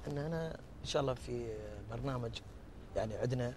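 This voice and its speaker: The speech moves at a moderate pace, with a dry sound with no echo and light background noise. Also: man. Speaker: TV show prank host. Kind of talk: casual street conversation. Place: street.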